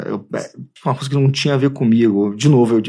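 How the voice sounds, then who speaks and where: A man's medium-pitched voice in a Rio de Janeiro accent, with ordinary pitch variation, on a very clean recording with a silent background. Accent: Carioca Brazilian Portuguese. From Brazil, Rio de Janeiro (Tijuca). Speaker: advertising creative director. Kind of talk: casual interview. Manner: halting, many repetitions.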